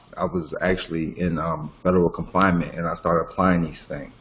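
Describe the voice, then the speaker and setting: There is noticeable background noise as this man talks. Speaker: legal education teacher. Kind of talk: online class lecture. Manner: fast.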